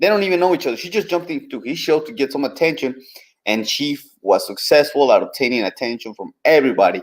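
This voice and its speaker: A man with a Spanish accent, fairly high-pitched with vocal fry, very wide pitch swings and a very fast pace. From southern Mexico. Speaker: commentator. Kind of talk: live stream commentary.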